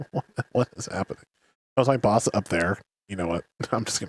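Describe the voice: A quiet background and lively intonation in plain reading aloud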